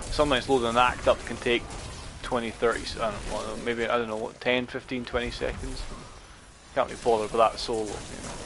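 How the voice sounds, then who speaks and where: A man with a Scottish accent speaks fairly quickly in a flat monotone, with music playing in the background. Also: medium pitch for a man. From Scotland. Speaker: gaming streamer. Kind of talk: casual gameplay commentary. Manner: halting, many fillers.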